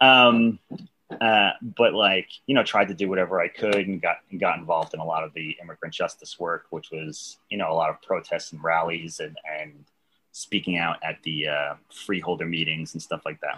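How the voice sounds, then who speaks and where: With an American accent, a man speaks at a very deep, low pitch. His pace is moderate and his pitch varies in an ordinary way. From New York City, Staten Island. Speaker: socialist activist. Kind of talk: casual interview.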